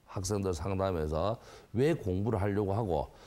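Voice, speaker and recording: A man at a moderate pace, in a very clean recording with a silent background. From South Korea, Gyeongsang (Busan, Geoje). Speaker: academy director. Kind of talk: interview.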